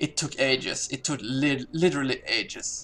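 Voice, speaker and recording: Music plays in the background as a man speaks at a fairly high pitch. His pace is fairly slow. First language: not English. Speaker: gamer. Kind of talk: casual gameplay commentary. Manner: hesitant, many pauses and fillers.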